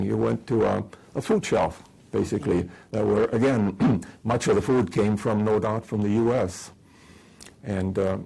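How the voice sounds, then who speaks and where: Dark and mellow in tone, a man's fairly low voice carries vocal fry and ordinary pitch variation. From Estonia. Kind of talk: oral history interview answer.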